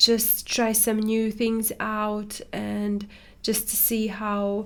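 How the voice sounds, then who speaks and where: This woman talks at a very slow pace. Her voice sits fairly high. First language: not English. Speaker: watercolor artist and tutor. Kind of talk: casual chat while painting. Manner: halting, many fillers.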